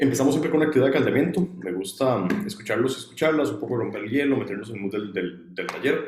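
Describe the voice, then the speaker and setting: Audible room echo carries a man's medium-pitched voice with lively intonation. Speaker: student workshop instructor. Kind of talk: online workshop lecture. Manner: fast when excited; hesitant fillers.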